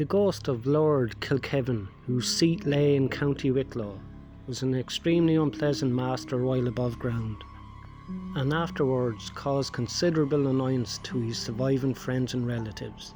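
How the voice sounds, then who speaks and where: Over music in the background, a man speaks at a moderate pace, with a medium pitch and ordinary pitch variation. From Ireland. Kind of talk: horror story narration. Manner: speech impediment.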